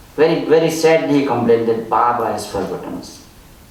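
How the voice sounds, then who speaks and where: A man speaks at a moderate pace, his voice carrying audible room echo amid noticeable background noise. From India, Gujarat. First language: Gujarati or other Indian language. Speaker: spiritual speaker, author. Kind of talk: storytelling talk.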